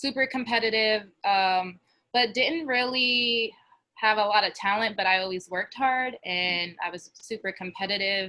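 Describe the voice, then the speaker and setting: A woman with a New Jersey accent speaks at a fairly high pitch. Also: ordinary pitch variation, moderate pace. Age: 20s. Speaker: college basketball player. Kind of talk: testimony.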